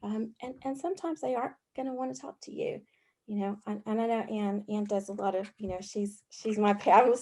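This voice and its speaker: A woman talks with a dark, mellow tone at a fairly high pitch, using ordinary pitch variation. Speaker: youth mental health worker. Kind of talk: panel discussion. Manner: loud and sassy.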